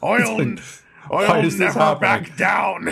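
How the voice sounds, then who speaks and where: Putting on a character voice, a man speaks in a raspy, high-pitched tone. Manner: growling, exaggerated.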